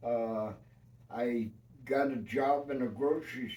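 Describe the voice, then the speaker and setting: In a room with audible echo, a man with a New York accent speaks at a medium pitch in a dark, mellow tone. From New York City. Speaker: retired union carpenter. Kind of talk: life-story interview. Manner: halting.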